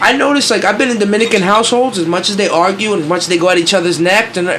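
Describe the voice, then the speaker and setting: Talking at a very fast pace, a man with a high pitch and an animated tone shows ordinary pitch variation, with audible room echo and noticeable background noise. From Queens, New York (Flushing). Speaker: podcast host. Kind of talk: casual chat.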